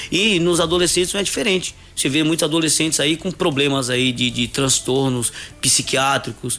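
Speaking at a moderate pace, a man with a fairly high pitch keeps his loudness very even and his pitch variation ordinary, with noticeable background noise behind him. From Brazil, Northeast (Coité do Nóia, Alagoas). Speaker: personal trainer and gym owner. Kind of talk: radio interview.

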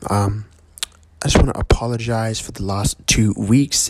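A man speaks quietly at a fairly slow pace, his pitch fairly low. Noticeable background noise sits behind him. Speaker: podcast host and musician. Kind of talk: casual monologue. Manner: quiet, kept down; hesitant, many fillers.

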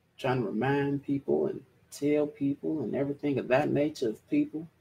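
A man talks at a fairly quick pace, somewhat breathy. His intonation stays fairly even. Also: fairly high pitch for a man. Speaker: livestream podcast host. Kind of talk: casual livestream chat. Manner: casual, rambling with fillers.

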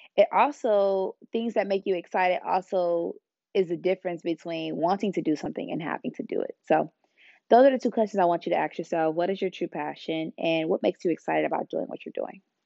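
At a fairly quick pace, a woman talks in an ordinary speaking voice with a medium pitch and ordinary pitch variation. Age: 20s. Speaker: podcast host. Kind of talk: casual monologue; motivational talk.

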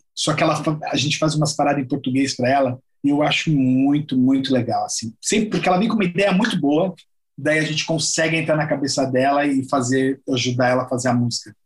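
With a plain, everyday voice, a man talks at a fairly quick pace, his pitch fairly high with ordinary variation. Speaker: musician. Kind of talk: casual chat.

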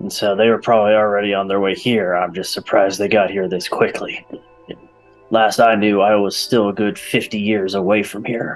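A man does a put-on character voice at a fairly low pitch. He keeps a moderate pace while faint music plays in the background. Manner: gruff, boastful, casual.

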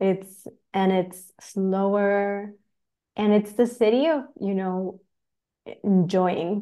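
Against a quiet background, a woman at medium pitch speaks with a Spanish accent and a dark, mellow tone. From Chile. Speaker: spiritual teacher and energy healer. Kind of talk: casual interview chat.

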